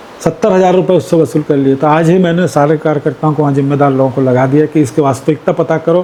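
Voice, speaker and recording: A man speaks at a moderate pace with a fairly high pitch and fairly even intonation over noticeable background noise. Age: 60s. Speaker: politician. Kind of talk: interview.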